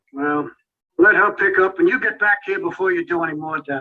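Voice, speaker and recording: A man puts on a gruff character voice. He speaks fairly quickly at a high pitch. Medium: short film. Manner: gruff, impatient.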